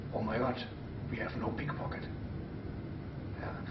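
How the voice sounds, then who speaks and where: A man with a German accent is heard with audible room echo and noticeable background noise. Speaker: stage pickpocket performer. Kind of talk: interview. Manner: halting.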